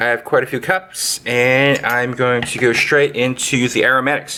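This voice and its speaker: A man's voice sits at a medium pitch and moves at a moderate pace. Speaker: home cooking video host. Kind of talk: cooking tutorial. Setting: home kitchen. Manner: hesitant with many fillers.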